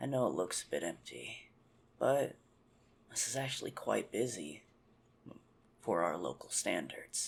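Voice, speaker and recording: With long, frequent pauses, a man does a raspy, put-on character voice in a calm tone at a moderate pace. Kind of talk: ASMR roleplay. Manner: teasing, calm.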